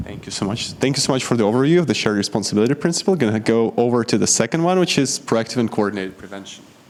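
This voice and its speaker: A man talks at a very fast pace with hardly any pauses, his medium pitch carrying lively intonation. Noticeable background noise sits underneath. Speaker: workshop moderator. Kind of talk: workshop facilitation. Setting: conference room with audience.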